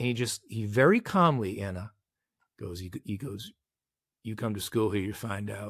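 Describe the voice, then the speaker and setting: A man with an American accent speaks at a moderate pace in a fairly low, somewhat breathy voice with ordinary pitch variation and long, frequent pauses, on a very clean recording with a silent background. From Boston, Massachusetts. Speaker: executive coach and former baseball player. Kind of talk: podcast interview storytelling.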